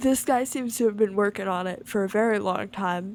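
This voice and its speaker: A woman speaks with an American accent. Her intonation is lively. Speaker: gaming video creator. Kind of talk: casual commentary. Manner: rambling with frequent fillers.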